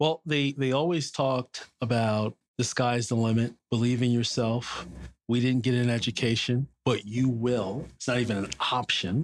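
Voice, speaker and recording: A man with an American accent speaks at a moderate pace and medium pitch, his intonation fairly even, on a very clean recording with a silent background. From New York City. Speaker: business commentator and adjunct professor. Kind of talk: interview storytelling.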